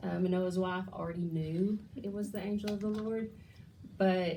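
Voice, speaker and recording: A woman with a fairly low pitch speaks at a fairly slow pace in a dark, mellow, somewhat breathy tone, with fairly even intonation and audible room echo. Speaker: bible study leader. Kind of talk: bible study teaching.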